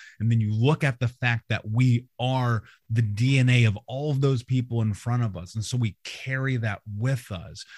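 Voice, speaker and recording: In a dry, close sound with no echo, a man with an American accent speaks at medium pitch and a moderate pace, somewhat breathy, with fairly even intonation. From US Midwest, Indianapolis. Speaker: motivational speaker and trauma coach. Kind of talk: interview.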